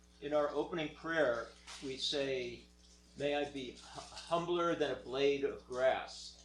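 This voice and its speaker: With audible room echo and noticeable background noise, a man speaks slowly at a fairly high pitch and with fairly even intonation. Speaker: moderator relaying questions. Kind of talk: Q&A session. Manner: loud.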